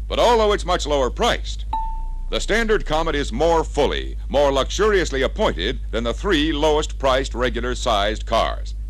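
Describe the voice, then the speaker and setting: Music plays in the background. A man speaks at a moderate pace. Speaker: sales training film narrator. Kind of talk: scripted sales pitch narration for a slide-film training record. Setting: vintage 33-1/3 RPM record played with slides. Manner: formal, polished, announcer-style delivery. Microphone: old recording.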